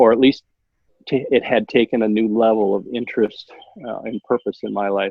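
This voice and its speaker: The speaker has an American accent, a moderate pace, fairly even intonation and long, frequent pauses. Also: man. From Minnesota, Minneapolis suburbs. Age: 60s. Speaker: podcast guest. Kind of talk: interview conversation. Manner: halting, many fillers.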